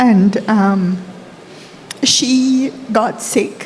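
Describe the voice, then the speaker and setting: Over noticeable background noise and audible room echo, a woman talks at a medium pitch with fairly even intonation. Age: 60s. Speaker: audience member asking a question. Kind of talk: audience question at a conference. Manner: hesitant, with fillers.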